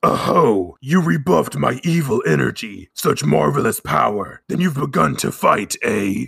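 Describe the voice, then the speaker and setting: A man's put-on character voice, gravelly, at a medium pitch and a moderate pace. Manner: menacing, taunting.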